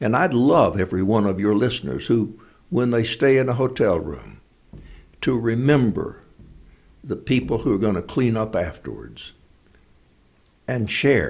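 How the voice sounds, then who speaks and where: At a moderate pace broken by long, frequent pauses, a man speaks at a medium pitch with lively intonation and vocal fry. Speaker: actor and speaker. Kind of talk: interview answer.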